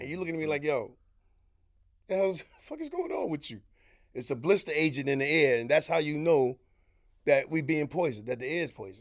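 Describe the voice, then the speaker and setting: Speaking at a very fast pace yet with long, frequent pauses, a man with a Harlem accent shows big swings in loudness and ordinary pitch variation. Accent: New York City, Harlem. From Harlem, New York. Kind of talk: casual interview, storytelling.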